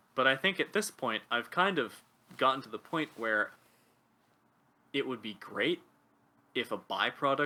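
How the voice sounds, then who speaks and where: A man with a Pacific Northwest accent and a bright, sharp tone speaks at a moderate pace, his pitch swinging very widely. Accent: American, Pacific Northwest. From US Pacific Northwest (North Bend, Washington). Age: 20s. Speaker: linguist and writer. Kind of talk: casual interview conversation.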